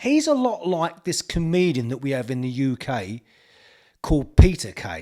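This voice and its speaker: He speaks with a strong East London accent at a moderate pace. His pitch is high, and it swings very widely. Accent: thick East End London. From East End of London. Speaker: golf YouTuber. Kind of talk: opinion vlog.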